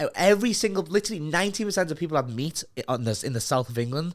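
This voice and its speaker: On a very clean recording with a silent background, a man with a Liverpool accent speaks at a very fast pace in an animated tone, his pitch swinging very widely. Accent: Scouse. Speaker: podcast host. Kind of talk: casual chat.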